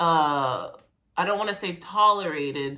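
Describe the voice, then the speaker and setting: This woman has a fairly low pitch and a bright, sharp, animated tone with ordinary pitch variation. She talks at a fairly slow pace, and some room echo can be heard. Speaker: music reaction youtuber. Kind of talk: reaction commentary.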